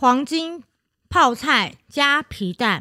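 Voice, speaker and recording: A woman's voice with a bright, sharp tone. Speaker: podcast co-host. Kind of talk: casual chat.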